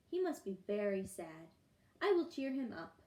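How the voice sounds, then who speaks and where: A woman puts on a character voice at a medium pitch, moving at a moderate pace with very wide pitch swings. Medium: read story.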